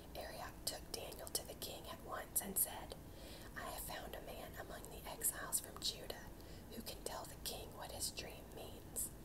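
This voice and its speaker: A woman whispers at a moderate pace while noticeable background noise plays. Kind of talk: whispered Bible reading for sleep and relaxation. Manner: whispered, soft.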